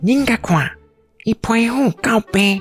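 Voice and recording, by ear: Over faint music in the background, a man uses a put-on character voice with an extremely high pitch, a slightly husky edge, lively intonation and a slow pace.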